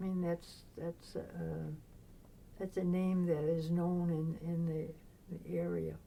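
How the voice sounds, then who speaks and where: Long, frequent pauses break up a woman's speech at a very slow pace. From Maine, Biddeford, Franco-American family. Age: 90s. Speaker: retired nun and social worker. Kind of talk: oral history interview. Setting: convent. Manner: halting.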